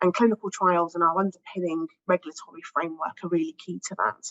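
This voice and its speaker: A woman with a British accent at a fairly quick pace. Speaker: pharmaceutical industry research director. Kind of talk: panel discussion statement.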